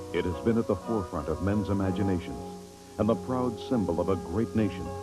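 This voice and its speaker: A man speaks in a fairly low pitch with very wide pitch swings. Music plays in the background. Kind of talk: TV promo announcer read.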